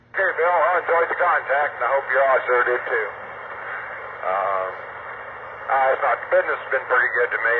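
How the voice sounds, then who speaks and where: A man speaks at a moderate speed with noticeable background noise behind him. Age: 60s. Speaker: trucker, ham radio operator. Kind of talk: ham radio contact. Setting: mobile radio from truck, via internet link.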